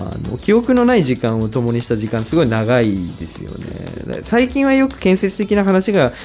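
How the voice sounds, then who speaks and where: The loudness swings widely at a moderate pace, with hardly any pauses. Music plays in the background. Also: man. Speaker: radio host. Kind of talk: casual interview.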